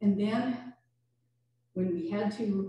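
A woman's somewhat breathy voice carries a dark, mellow tone and lively intonation, with audible room echo. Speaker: minister. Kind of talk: sermon. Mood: reflective, warm. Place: church.

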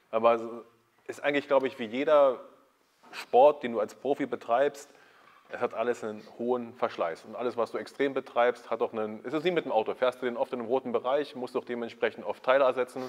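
A man's medium-pitched, unremarkable speaking voice, with fairly even intonation and a fairly quick pace. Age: 30s. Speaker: YouTube host, fitness content creator. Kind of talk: casual interview. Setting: backstage at a sports school.

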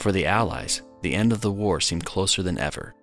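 A man with a very deep, low voice speaks at a fairly quick pace in a fairly even intonation, with music playing behind him. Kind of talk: documentary narration.

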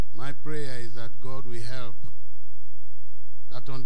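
Light background noise sits behind a man's voice. He keeps a moderate pace and fairly even intonation. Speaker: preacher. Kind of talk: sermon. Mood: warm, smiling. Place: church. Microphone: handheld.

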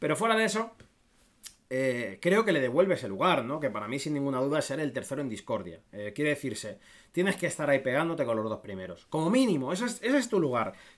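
Very wide pitch swings mark a man's animated tone as he speaks at a very fast pace. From Spain. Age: 30s. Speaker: football YouTuber and streamer; football YouTuber, streamer. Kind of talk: casual livestream commentary. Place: home room.

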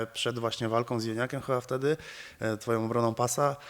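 The speaker is a man. The background is quiet. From Poland. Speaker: interviewer. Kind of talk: casual interview. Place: gym. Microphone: handheld.

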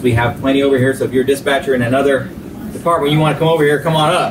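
A man talks at a very fast pace. There is noticeable background noise. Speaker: police officer host. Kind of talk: interview hosting chat. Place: office. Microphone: camera far.

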